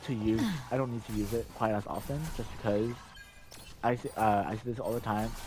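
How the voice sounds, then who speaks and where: A man talks at a fairly quick pace and medium pitch with fairly even intonation and long, frequent pauses. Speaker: gamer. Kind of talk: game tutorial voice-over. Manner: hesitant, many fillers.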